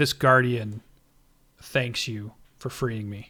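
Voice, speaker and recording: Using a put-on character voice, a man speaks at a very slow pace in a medium pitch, sounding raspy and gravelly. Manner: majestic, powerful.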